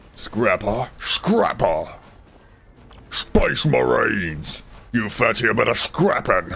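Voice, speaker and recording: A man performs a put-on character voice at a very slow pace. Long pauses come often. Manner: aggressive, taunting, eager for a fight.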